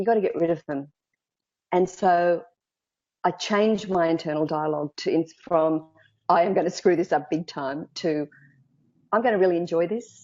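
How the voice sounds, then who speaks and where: In an Australian accent, a woman talks at a moderate pace with a fairly low pitch and ordinary pitch variation. She leaves long, frequent pauses. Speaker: speaking coach. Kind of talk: interview.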